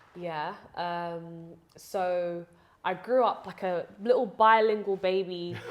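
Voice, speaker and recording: A woman speaks very slowly with a London accent. Her pitch is medium. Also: fairly even intonation. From London, England (early childhood partly Uganda). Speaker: preacher and educator. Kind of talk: interview conversation. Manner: hesitant, many fillers.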